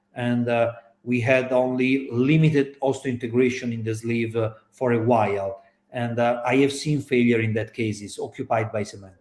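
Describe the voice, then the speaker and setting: This man talks with an Italian accent at a moderate pace. His pitch is medium and his intonation is monotone and flat. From Italy. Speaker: orthopaedic surgeon. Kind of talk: panel discussion. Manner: hesitant, many fillers.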